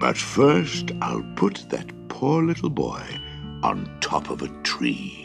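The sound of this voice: A man speaks slowly in a put-on character voice of extremely low pitch, with vocal fry and very wide pitch swings. Faint music plays in the background.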